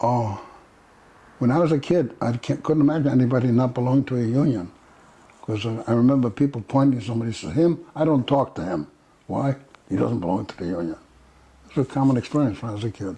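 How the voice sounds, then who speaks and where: A man with a dark, mellow, somewhat breathy tone talks at a very fast pace in a medium pitch, his intonation lively and broken by long, frequent pauses. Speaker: activist and veteran. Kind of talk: oral history interview.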